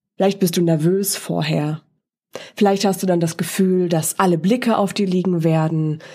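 On a very clean recording with a silent background, a woman talks at a fairly quick pace and a medium pitch. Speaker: voice and presentation coach, podcast host. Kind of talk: solo podcast monologue, coaching talk. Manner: casual, conversational with filler words.

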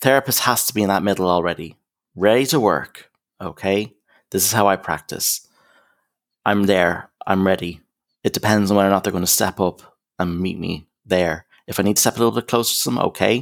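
A man talks at a fairly quick pace with a fairly low pitch. He has a slight American accent, and the recording is very clean with a silent background. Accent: slight American touch. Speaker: counsellor. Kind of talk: casual interview chat. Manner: warm, friendly.

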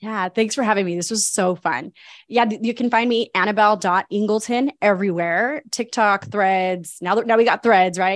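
On a very clean recording with a silent background, a woman speaks at a moderate pace. Her medium pitch shows ordinary variation, and the sound is dry and close with no echo. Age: 40s. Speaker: life coach. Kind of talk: interview. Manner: animated.

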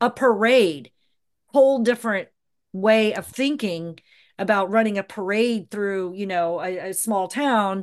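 With an American accent, a woman speaks in an ordinary speaking voice at a medium pitch and a fairly slow pace, with ordinary pitch variation against a quiet background. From US South, Georgia (Atlanta). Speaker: event producer. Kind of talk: casual interview.

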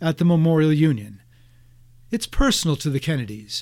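Recorded very cleanly over a silent background, a man speaks at a fairly quick pace. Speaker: local historian and radio contributor. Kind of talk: scripted narration.

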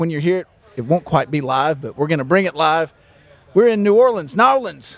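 A man with a Southern US accent speaks at a high pitch. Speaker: podcast host. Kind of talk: casual interview chat. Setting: recorded on site at a conference.

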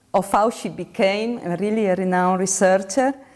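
A woman with a medium pitch talks fairly slowly, her pitch moving in an ordinary way. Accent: Italian. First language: Italian. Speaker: university professor, interviewer. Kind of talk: interview. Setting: video call. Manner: halting.

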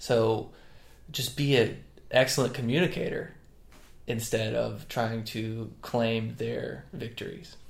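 A man talks at a very slow pace in an American accent. Room echo is audible. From North Carolina. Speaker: strength coach, former baseball pitcher. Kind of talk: casual chat.

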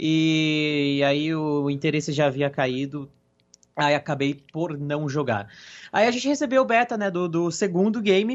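A fairly high-pitched man in a normal speaking voice, lively in intonation and fairly slow in pace. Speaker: gaming podcast co-host. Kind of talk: casual chat.

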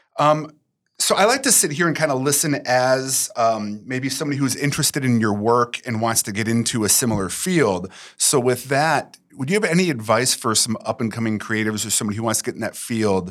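A man with an ordinary speaking voice, medium pitch and a fairly quick pace, on a very clean recording with a silent background. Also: ordinary pitch variation. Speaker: podcast producer asking questions. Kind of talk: casual interview chat.

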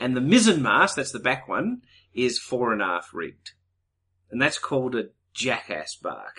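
Against a quiet background, a man with an Australian accent speaks at a moderate pace. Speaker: podcast co-host. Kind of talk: casual chat.

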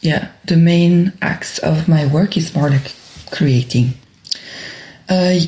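A woman speaks with a French accent and ordinary pitch variation. Noticeable background noise is present. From Brussels, Belgium. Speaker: dancer and choreographer. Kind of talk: interview. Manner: hesitant, many fillers.

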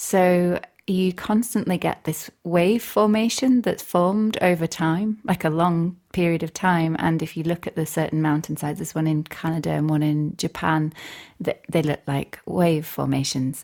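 With a Yorkshire accent, a woman speaks at a moderate pace and fairly low pitch, her pitch varying in an ordinary way, in a very clean recording with a silent background. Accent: broad Yorkshire. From Northern Ireland, raised in Barnsley, Yorkshire from age eight. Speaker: composer and radio presenter. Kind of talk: casual interview chat.

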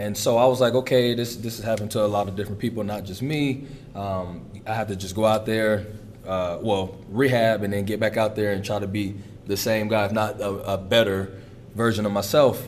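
The speaker talks at a fairly quick pace with fairly even intonation, amid noticeable background noise and audible room echo. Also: man, fairly low pitch for a man. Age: 20s. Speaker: college football player. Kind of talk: interview. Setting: practice facility.

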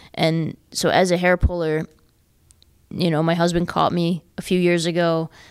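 A woman with an American accent speaks at a moderate pace in a fairly low, monotone, flat voice. Her loudness stays very even on a very clean recording with a silent background. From New York, US. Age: 30s. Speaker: mental health advocate and tech entrepreneur. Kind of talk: interview.

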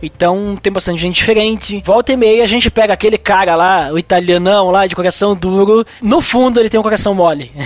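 A man's high voice at a fairly quick pace with fairly even intonation, dry and close with no echo, over noticeable background noise. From southern Brazil, Serra Gaúcha (Rio Grande do Sul). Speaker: podcaster and church youth leader. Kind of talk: casual chat.

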